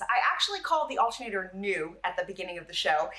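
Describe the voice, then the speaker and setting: Over noticeable background noise, a woman talks at a very fast pace with lively intonation, a medium pitch and an animated tone. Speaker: car repair video host. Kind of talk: tutorial.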